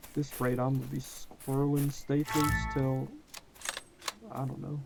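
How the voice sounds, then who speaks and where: With music playing in the background, someone speaks in an American accent. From US South. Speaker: gaming youtuber. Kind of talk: gameplay commentary. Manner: casual, animated.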